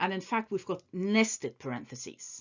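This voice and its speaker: A woman with a non-native accent speaks with very wide swings in pitch. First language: not English. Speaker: maths teacher. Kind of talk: tutorial. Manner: casual, with frequent hesitations.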